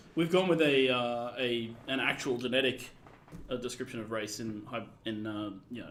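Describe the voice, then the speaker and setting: A man at a fairly quick pace with ordinary pitch variation, in audible room echo. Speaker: game developer and writer. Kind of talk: live stream gameplay commentary. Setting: live stream. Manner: loud.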